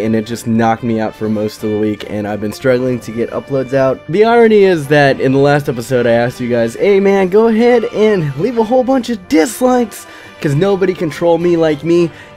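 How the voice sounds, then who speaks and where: Over music in the background, a man with a fairly high pitch talks at a fairly quick pace with hardly any pauses. His voice moves in very wide pitch swings. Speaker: gaming commentator. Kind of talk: casual gameplay commentary.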